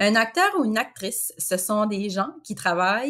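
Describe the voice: The text is read in a plain way, with lively intonation.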